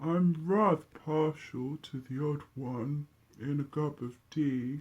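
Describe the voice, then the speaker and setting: A put-on character voice at low-to-middle pitch and a fairly slow pace. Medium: read story. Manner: posh, polite.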